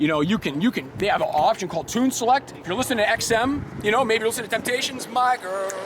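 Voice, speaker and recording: A man speaks fairly quickly in an animated tone with lively intonation. Noticeable background noise sits behind him. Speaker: car salesman presenting a truck. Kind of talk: product walkaround sales pitch. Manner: fast; animated, with many repetitions.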